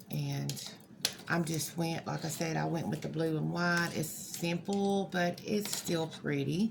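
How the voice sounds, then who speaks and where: The speech goes at a fairly slow pace, with audible room echo and noticeable background noise. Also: woman. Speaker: crafter. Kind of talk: tutorial. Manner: halting, hesitant; casual.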